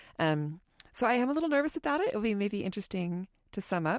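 A woman at a moderate pace with lively intonation, in a dry, close sound with no echo. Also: very clean recording, silent background. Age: 40s. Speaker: podcast co-host. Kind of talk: casual chat. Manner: animated.

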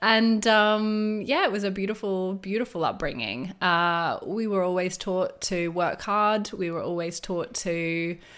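With an Australian accent, a woman talks at a medium pitch and a fairly slow pace, with ordinary pitch variation, hardly any pauses, and a very clean recording over a silent background. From Australia, rural New South Wales. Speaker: wellness entrepreneur and business coach. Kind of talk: interview conversation.

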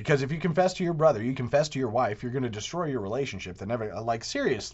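Somewhat breathy, the voice rushes at a very fast pace with lively intonation. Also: man, medium pitch for a man. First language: not English. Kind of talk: monologue commentary. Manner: animated.

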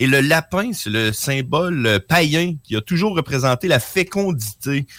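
A bright, sharp tone moves through very wide pitch swings at a very slow pace. The recording is very clean, dry and close, with no echo and a silent background. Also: man. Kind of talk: casual chat.

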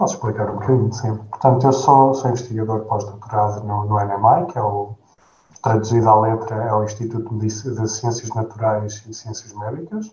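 The speaker keeps a moderate pace with fairly even intonation. Noticeable background noise can be heard. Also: man, medium pitch for a man. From Portugal, Gouveia (Guarda district). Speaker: postdoctoral researcher, bioengineer. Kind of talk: interview. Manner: hesitant, repeats words.

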